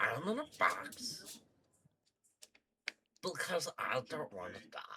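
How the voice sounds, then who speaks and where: This is a put-on character voice, raspy and at a middle pitch. It moves at a fairly slow pace. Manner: pleading, scared.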